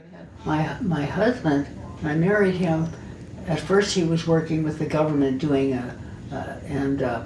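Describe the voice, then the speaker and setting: A woman with an American accent talks at a fairly slow pace, her pitch very deep and low with ordinary variation. Noticeable background noise can be heard. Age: 80s+. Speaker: artist. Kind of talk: life story interview.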